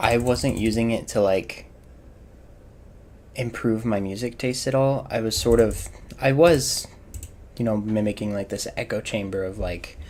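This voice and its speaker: A man with an American accent speaks at a fairly slow pace, pausing long and often. His medium pitch shows ordinary variation. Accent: faint southern accent, comes out at times. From US South. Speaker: gaming streamer. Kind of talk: casual live-stream chat. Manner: casual, frequent fillers and restarts.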